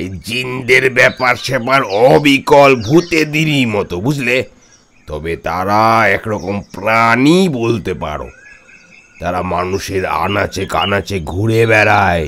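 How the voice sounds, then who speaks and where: In a put-on character voice, a man talks at a very slow pace and a medium pitch. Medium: audio drama. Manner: chatty, keeps asking "understand?".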